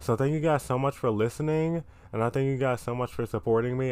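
An unremarkable speaking voice from a man, medium in pitch, with ordinary pitch variation and a fairly quick pace. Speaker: podcast host. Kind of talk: casual solo podcast chat. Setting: recording in bed. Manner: casual, rambling, self-deprecating.

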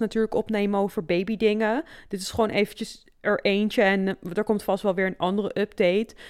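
In a very clean recording with a silent background and a dry, close sound with no echo, a plain, everyday voice moves at a fairly quick pace with fairly even intonation and hardly any pauses. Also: woman. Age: 30s. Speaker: podcast co-host. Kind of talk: casual chat.

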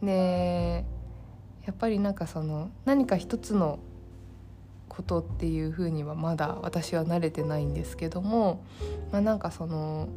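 Music can be heard in the background. Over it, a woman talks fairly slowly. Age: 30s. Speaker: solo podcaster. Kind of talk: casual monologue.

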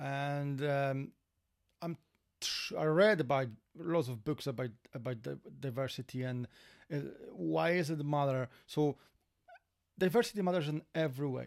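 A man with a Polish accent and a fairly high pitch, at a moderate pace with long, frequent pauses and ordinary pitch variation. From Poland. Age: 40s. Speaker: former security worker, immigrant. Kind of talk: casual chat.

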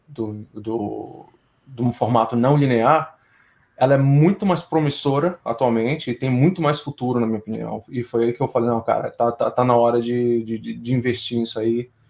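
At a fairly slow pace, a man talks in an ordinary speaking voice of medium pitch with ordinary pitch variation. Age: 30s. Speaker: game audio sound designer. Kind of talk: casual interview chat.

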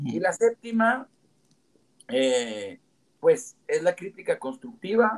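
This man's voice sits high for a man, swings very widely in pitch, and breaks into long, frequent pauses. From Mexico, Comarca Lagunera (Gómez Palacio/Torreón/Lerdo). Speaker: entrepreneur and civic movement founder. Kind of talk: interview conversation.

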